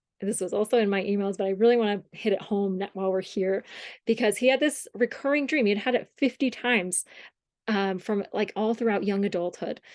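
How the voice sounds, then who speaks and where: A woman with an American accent, medium pitch and ordinary pitch variation, talking at a fairly quick pace against a quiet background. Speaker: dream workshop teacher. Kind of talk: workshop lecture.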